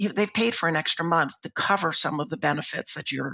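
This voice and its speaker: Lively intonation runs through this man's fairly high-pitched voice. Vocal fry is present as well. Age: 60s. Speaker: dentist and membership plan co-founder. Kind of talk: interview.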